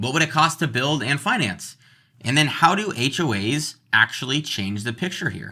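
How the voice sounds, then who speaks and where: Vocal fry marks this man's fairly high voice, which moves in very wide pitch swings. The recording is very clean with a silent background. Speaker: real estate agent. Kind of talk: tutorial. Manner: fast.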